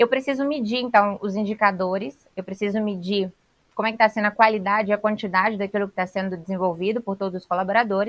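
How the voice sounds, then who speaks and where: A woman at a very fast pace, medium-pitched, with fairly even intonation. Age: 20s. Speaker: sales director and trainer. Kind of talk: podcast interview.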